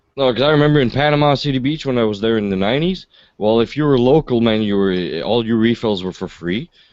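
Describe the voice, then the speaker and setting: Very fast male speech at medium pitch with a Quebec accent, over a quiet background. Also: ordinary pitch variation. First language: French. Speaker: livestream host. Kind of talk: casual chat.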